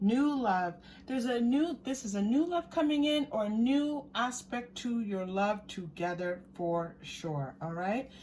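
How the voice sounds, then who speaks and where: A woman speaks at a fairly high pitch, somewhat breathy, with very wide swings in pitch. Her pace is fairly slow, yet she hardly pauses. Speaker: tarot card reader. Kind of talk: pick-a-card tarot reading. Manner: animated.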